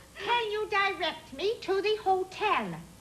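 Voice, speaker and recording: A squeaky, put-on character voice at a fairly slow pace, with clear background noise. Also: woman, extremely high pitch for a woman. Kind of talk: instructional TV parody. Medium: comedy sketch. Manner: slow, over-enunciated.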